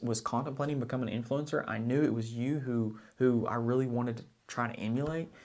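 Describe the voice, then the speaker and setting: With an Oklahoma accent, a man talks at a fairly quick pace, medium pitch and fairly even intonation. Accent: small-town Oklahoma. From US South, southeast Oklahoma. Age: 20s. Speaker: finance blogger and YouTuber. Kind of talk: casual vlog monologue. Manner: halting, with repetitions.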